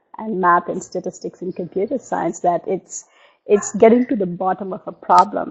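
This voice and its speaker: A woman at medium pitch with a Telugu accent, ordinary pitch variation and a moderate pace. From India. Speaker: novelist. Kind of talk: interview. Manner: halting.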